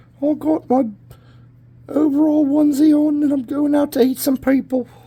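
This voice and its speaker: A put-on character voice pitched high speaks at a moderate pace. Its intonation is flat and monotone. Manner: menacing, playful.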